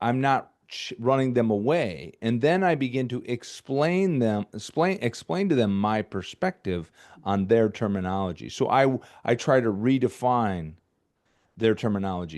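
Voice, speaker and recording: Against a quiet background, a man with an American accent talks at a moderate pace and medium pitch, his pitch swinging very widely. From Michigan, US Midwest. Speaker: filmmaker. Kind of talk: interview conversation. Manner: halting, many repeated words.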